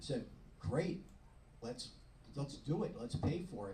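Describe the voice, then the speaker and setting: A man with a Long Island accent talks at a fairly quick pace, his fairly high voice somewhat breathy and dark and mellow in tone, with audible room echo. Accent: New York (Long Island). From Long Island, New York. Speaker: retired dentist and club member. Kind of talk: club talk. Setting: club meeting at a yacht club. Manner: casual, joking.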